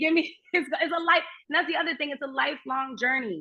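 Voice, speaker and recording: Raised and projected, a woman's high voice moves at a fairly quick pace with ordinary pitch variation. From Germany. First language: German. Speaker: astrologer and actress. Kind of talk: casual chat.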